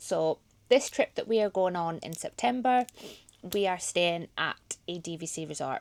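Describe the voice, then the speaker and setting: With a slight Geordie accent, a woman speaks at a moderate pace and medium pitch, her intonation lively. Her loudness swings a lot, and the sound is dry and close with no echo. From Scotland, Highlands near Inverness. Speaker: vlogger. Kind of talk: casual vlog chat.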